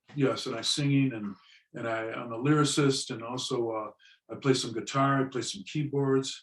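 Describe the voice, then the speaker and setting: In an American accent, a man at medium pitch speaks with fairly even intonation and a normal speaking voice. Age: 60s. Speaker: drummer and musician. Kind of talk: interview.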